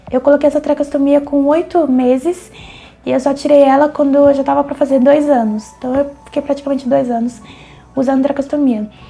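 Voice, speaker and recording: Breathy and high-pitched, a woman speaks at a fairly quick pace in a monotone, flat intonation. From Brazil, São Paulo area. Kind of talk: testimony. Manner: breathy, speaks while breathing.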